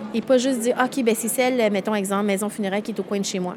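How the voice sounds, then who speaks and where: Over noticeable background noise, a woman speaks very fast in a fairly high voice with fairly even intonation. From Quebec. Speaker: event founder. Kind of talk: interview.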